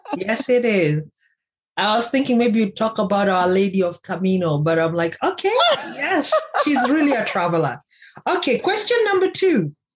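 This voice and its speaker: The voice is somewhat breathy, with very wide pitch swings and very even loudness. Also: woman, fairly high pitch for a woman, moderate pace. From Kenya. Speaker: life coach and podcast host. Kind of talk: casual interview chat.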